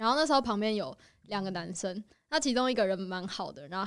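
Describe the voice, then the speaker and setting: In a very clean recording with a silent background, a woman talks at a very fast pace with a medium pitch. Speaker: host's friend. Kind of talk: casual chat.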